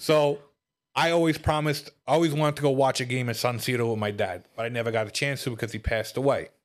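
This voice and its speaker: A man in a Brooklyn accent talks at a very fast pace and medium pitch with ordinary pitch variation, on a very clean recording with a silent background. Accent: New York (Brooklyn). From Brooklyn, New York. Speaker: comedian. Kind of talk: casual podcast chat. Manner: humorous, joking.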